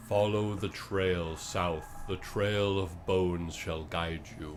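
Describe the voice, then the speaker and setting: Over clear background noise, a man puts on a character voice at a very deep, low pitch and a very slow pace. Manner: solemn, prophetic.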